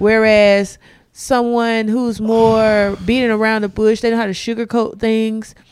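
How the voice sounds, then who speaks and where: Her intonation is monotone and flat, at a fairly slow pace. This woman has a fairly high pitch and speaks with an American accent. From South Carolina. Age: 30s. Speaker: comedian. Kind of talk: casual chat. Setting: home studio.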